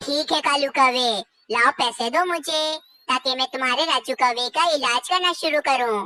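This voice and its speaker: A cartoonish character voice, female-sounding and high-pitched, at a moderate pace. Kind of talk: children's cartoon dialogue.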